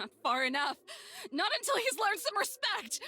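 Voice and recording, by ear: Putting on a character voice, a woman speaks at an extremely high pitch and a moderate pace, her tone bright and sharp, with big pitch swings.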